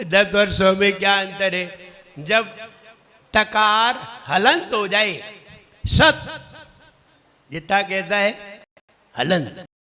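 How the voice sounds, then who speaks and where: A raised, projected voice with ordinary pitch variation and long, frequent pauses. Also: man, high pitch for a man. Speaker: Jain monk teaching pronunciation. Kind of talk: religious pronunciation class.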